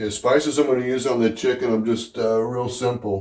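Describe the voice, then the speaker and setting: Speaking at a fairly quick pace, this man has a dark, mellow tone. His voice moves along briskly. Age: 60s. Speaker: home cook vlogger. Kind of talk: casual cooking tutorial. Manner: casual, hesitant with many fillers.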